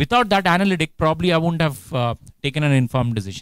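Against a quiet background, a man talks at a very fast pace. His pitch sits fairly high. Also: dry sound with no echo. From India. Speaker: HR director. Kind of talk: guest lecture with Q&A. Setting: lecture hall with student audience. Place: hall. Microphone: handheld.

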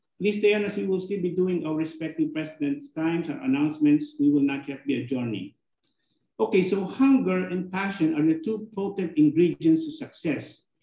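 Fairly quick delivery in a dark, mellow tone, with audible room echo. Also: man, high pitch for a man. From Philippines. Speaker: club president, lawyer; lawyer. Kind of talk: formal meeting remarks. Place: office. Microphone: video call.

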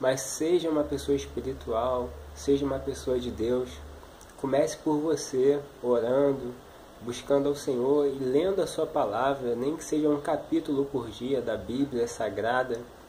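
A man with a Brazilian accent speaks at a fairly slow pace in a warm tone, his intonation fairly even over light background noise. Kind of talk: preacher exhortation, encouraging sermon-like address to viewer. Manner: earnest, warm, pleading; steady, urging, repetitive. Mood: earnest, compassionate. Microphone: webcam.

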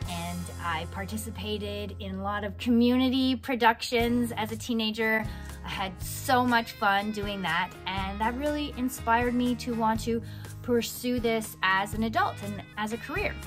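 Clear music in the background plays as a woman talks at a moderate pace. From Canada. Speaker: voice actor. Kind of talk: casual talk to camera. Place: home room. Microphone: studio mic.

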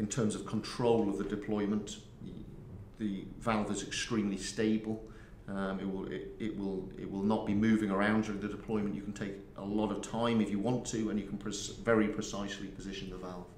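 A man with a fairly low pitch talks at a fairly quick pace in a monotone, flat intonation, with light background noise and audible room echo. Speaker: guest. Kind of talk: interview answer. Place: booth.

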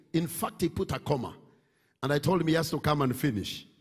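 A man talks with ordinary pitch variation and a somewhat breathy voice. The background is quiet. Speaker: pastor hosting service. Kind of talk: sermon-style introduction of guest. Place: church. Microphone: handheld.

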